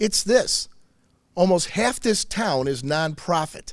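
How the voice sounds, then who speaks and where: This voice carries a Michigan accent and very wide pitch swings. The recording is very clean, with a silent background. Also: man. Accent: Michigan (Inland North) American. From Michigan, Macomb County (St. Clair Shores). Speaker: state senator. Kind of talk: public speech. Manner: loud; animated.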